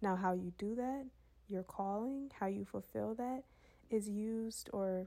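This woman talks at a fairly slow pace in a dark, mellow tone, her medium pitch held to a fairly even intonation. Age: 20s. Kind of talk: devotional monologue.

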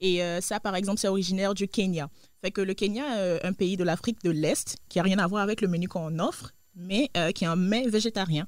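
Through a very clean recording with a silent background, a woman speaks at a fairly quick pace, her medium pitch showing ordinary variation and her loudness very even. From Côte d'Ivoire. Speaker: restaurant co-owner. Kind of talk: interview. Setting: studio. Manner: hesitant, many fillers.

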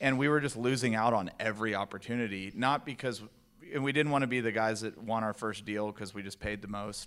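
A man with an American accent speaks at a fairly quick pace in a plain, everyday voice, his medium pitch and fairly even intonation captured in a very clean recording with a silent background. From Texas, El Paso. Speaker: real estate investor. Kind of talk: onstage interview.

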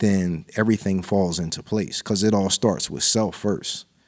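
A man with an American accent talks fairly slowly in an unremarkable speaking voice at a fairly low pitch. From New Jersey, Lawnside. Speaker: rapper. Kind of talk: casual chat.

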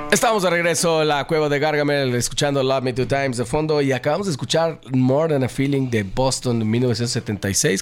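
Noticeable background noise sits behind a man who talks with very even loudness and hardly any pauses. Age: 40s. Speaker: radio host and band member. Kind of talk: live radio chat. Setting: radio studio.

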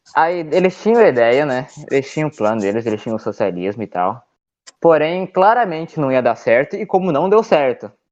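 Fairly quick speech in a southern Brazilian accent, with very wide pitch swings. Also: man, fairly high pitch for a man. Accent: gaúcho. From Rio Grande do Sul, Porto Alegre. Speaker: podcast guest, meme page creator. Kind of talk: casual chat. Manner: animated.

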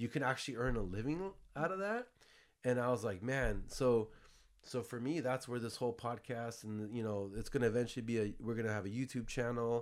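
A man with an American accent speaks at medium pitch and a fairly quick pace. His pitch varies in an ordinary way, and the recording is very clean with a silent background. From US West Coast, San Jose area (South Bay). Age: 40s. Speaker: podcast host, entrepreneur. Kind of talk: casual chat. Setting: studio.

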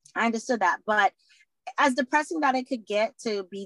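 A woman with an American accent, bright and sharp in tone, with lively intonation at a fairly quick pace, in a dry, close sound with no echo. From Boston, Massachusetts. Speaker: former prisoner and advocate for at-risk women. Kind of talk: interview.

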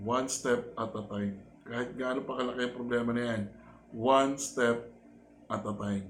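This man speaks at a moderate pace. His pitch sits in the medium range. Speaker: vlogger and life-coach style host. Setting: home vlog recording.

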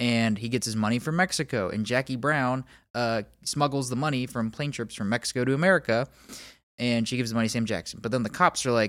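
In a very clean recording with a silent background, a man with a normal speaking voice and medium pitch talks at a fairly quick pace with ordinary pitch variation. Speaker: podcast host. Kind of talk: casual chat.

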